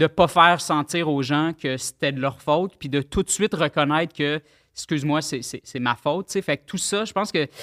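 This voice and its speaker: Dry and close with no echo, a man's fairly high voice carries a bright, sharp tone. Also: ordinary pitch variation, moderate pace, very clean recording, silent background. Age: 30s. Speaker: web artist and rapper. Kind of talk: casual chat.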